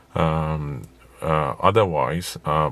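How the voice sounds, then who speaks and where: Vocal fry colors a man's very deep, low pitch as he talks. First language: not English. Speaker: private car seller. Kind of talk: informal video walkthrough. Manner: slow; halting, many fillers.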